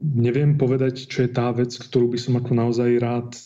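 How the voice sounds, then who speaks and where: A man speaks in a dark, mellow tone with flat, monotone intonation. Room echo is audible. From Slovakia, Martin. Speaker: experimental physicist. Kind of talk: interview.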